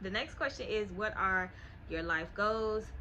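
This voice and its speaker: A woman with an American accent talks in a bright, sharp tone at a medium pitch, with fairly even intonation and audible room echo. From US South, Miami, Florida. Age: 20s. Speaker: lifestyle YouTuber. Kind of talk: casual Q&A vlog.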